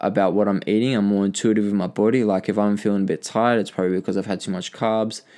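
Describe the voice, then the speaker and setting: The voice has an Australian accent and monotone, flat intonation. The recording is very clean, with a silent background. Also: man. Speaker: podcaster sharing personal story. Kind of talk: casual monologue, personal story. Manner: casual, filler-heavy, halting.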